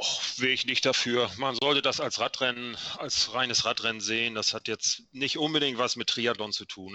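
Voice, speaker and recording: A man with a normal speaking voice, medium pitch, fairly even intonation, moderate pace and hardly any pauses. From Schleswig-Holstein, northern Germany. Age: 50s. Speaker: amateur triathlete and cyclist. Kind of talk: casual chat.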